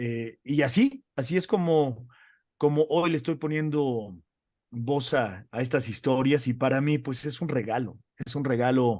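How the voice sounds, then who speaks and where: Against a quiet background, a man with a Mexican accent speaks at a medium pitch with ordinary pitch variation. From Mexico. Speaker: radio announcer and entertainment news presenter. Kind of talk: interview conversation. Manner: many fillers and repetitions.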